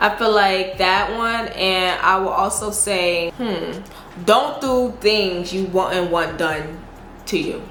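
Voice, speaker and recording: A woman with a strong Southern US accent speaks very slowly at a medium pitch with ordinary pitch variation, amid noticeable background noise and audible room echo. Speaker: YouTuber. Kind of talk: casual Q&A vlog. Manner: casual, slangy.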